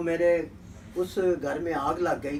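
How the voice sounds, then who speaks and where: In a high voice, a man talks with monotone, flat intonation. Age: 70s. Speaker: veteran journalist and poet. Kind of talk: interview.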